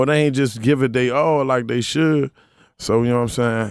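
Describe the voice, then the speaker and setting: A man with an American accent talks at a fairly quick pace in an ordinary speaking voice with fairly even intonation, on a very clean recording with a silent background. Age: 30s. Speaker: rapper. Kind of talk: interview. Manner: casual.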